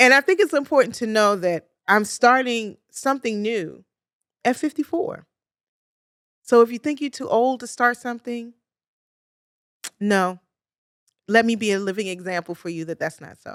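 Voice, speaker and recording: A woman with a Baltimore accent speaks at a moderate pace in a fairly high pitch, her intonation lively and her loudness swinging widely, with long, frequent pauses and a dry, close sound that has no echo. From US, Baltimore, Maryland. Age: 50s. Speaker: podcast host, clinical social worker. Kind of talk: podcast monologue. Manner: energetic.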